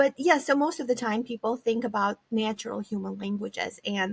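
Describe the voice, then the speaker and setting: A woman with a Romanian accent speaks at a moderate pace in a fairly high pitch with ordinary pitch variation, the sound dry and close with no echo. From Eastern Europe, former Soviet republic (Moldova). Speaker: psychology professor. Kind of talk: interview conversation.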